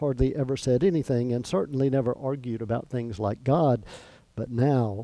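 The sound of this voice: An unforced reading voice, intonation held fairly even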